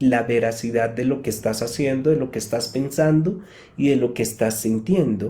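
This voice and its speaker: Somewhat breathy and calm, this man's voice has a dark, mellow tone, medium pitch and ordinary pitch variation at a fairly slow pace. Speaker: psychotherapist. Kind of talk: live talk answering audience questions. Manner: calm, explanatory.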